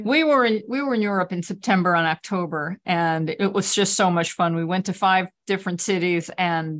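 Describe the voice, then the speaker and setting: In an ordinary speaking voice, a woman talks at a moderate pace with ordinary pitch variation over a quiet background. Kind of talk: casual chat. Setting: video call.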